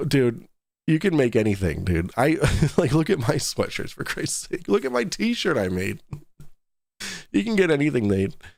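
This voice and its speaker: A man puts on a raspy character voice at a medium pitch, swinging very widely in pitch at a moderate pace. He takes long, frequent pauses in a very clean recording with a silent background. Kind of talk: casual, everyday.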